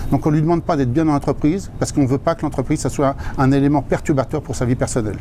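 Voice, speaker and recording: Over noticeable background noise, a man talks very fast. His voice is fairly high, with ordinary pitch variation. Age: 60s. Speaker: fast-food franchise owner. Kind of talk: interview. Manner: hesitant, repeats words.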